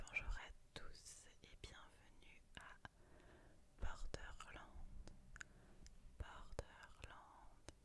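A woman's whisper at a very slow pace, broken by long, frequent pauses. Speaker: ASMR creator. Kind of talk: ASMR book review. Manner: whispered. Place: home room. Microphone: studio mic.

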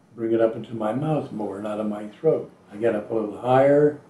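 Dark, mellow tone from a man, fairly even intonation, audible room echo. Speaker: voice actor. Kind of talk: interview answer. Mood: wry, amused. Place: home room.

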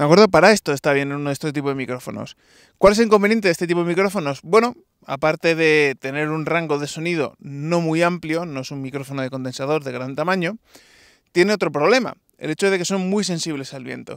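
Speaking at a very fast pace, a man with a fairly high pitch shows ordinary pitch variation and big swings in loudness, recorded dry with no echo against a quiet background. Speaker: tech product reviewer. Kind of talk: product review tutorial. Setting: outdoors, walking on stone ground. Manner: talking loudly. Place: open country.

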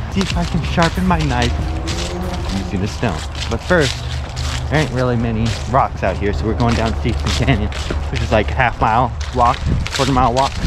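A man talking at a fairly quick pace, dry sound with no echo, music in the background. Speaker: vlogger. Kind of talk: casual vlog chat. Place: open country. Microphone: phone near.

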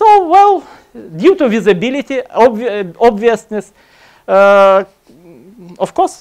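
A man with a Russian accent at a very slow pace, with long, frequent pauses against a quiet background. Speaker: computer science lecturer; lecturer. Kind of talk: conference talk. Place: hall.

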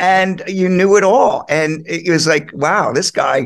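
Against a quiet background, a high-pitched man with an American accent talks at a moderate pace. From Philadelphia area, US. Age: 60s. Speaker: rock drummer. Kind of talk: casual interview. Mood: warm, reminiscing. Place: home room. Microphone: video call.

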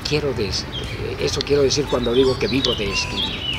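Loud background noise sits behind a man's voice. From Mexico. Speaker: writer and newspaper columnist. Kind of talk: interview answer. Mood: warm, contented, reflective. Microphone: handheld.

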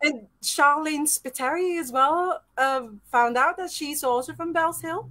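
A woman projects a raised voice with a high pitch and a bright, sharp tone. She goes at a fairly slow pace with ordinary pitch variation. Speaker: podcast host. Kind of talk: casual interview. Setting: live-streamed video call. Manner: animated.

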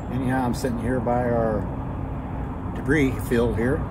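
Loud background noise surrounds a man as he talks. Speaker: homesteader vlogger. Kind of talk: casual vlog chat. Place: garden.

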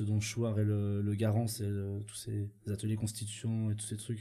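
A man talks at a moderate pace with a fairly low pitch and a dark, mellow tone. His delivery is somewhat breathy and monotone, with flat intonation. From Switzerland. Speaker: studio technician and protester; podcast co-host or guest. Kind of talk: casual conversation. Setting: studio. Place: studio. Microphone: studio mic.

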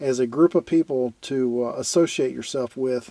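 The man's voice comes across dry, with no echo. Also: quiet background. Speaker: camping vlogger. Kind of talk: casual vlog chat. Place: home room. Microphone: phone near.

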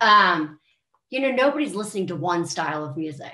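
A woman with an American accent speaks in a bright, sharp tone with lively intonation, with audible room echo around her. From US, Maryland. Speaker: country singer. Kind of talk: casual interview. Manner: animated. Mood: warm, animated. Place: home room. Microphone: webcam.

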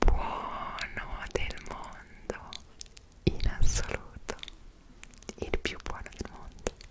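A woman is whispering. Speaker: travel vlogger. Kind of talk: casual vlog chat. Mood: animated, expressive storytelling. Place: home room.

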